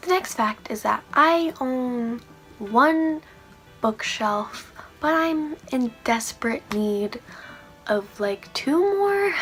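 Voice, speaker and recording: Music plays in the background as a woman speaks at a very slow pace. Her high voice swings very widely in pitch. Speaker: book reviewer. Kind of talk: casual talk to camera.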